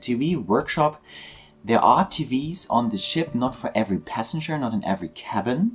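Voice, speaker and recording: A man with a German accent speaks at a moderate pace in a medium pitch, somewhat breathy, with lively intonation. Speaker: video game tour guide. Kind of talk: guided tour narration. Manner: halting.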